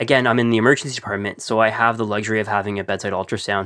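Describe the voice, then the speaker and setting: A man talks at a very fast pace. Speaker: physician co-host. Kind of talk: medical podcast discussion.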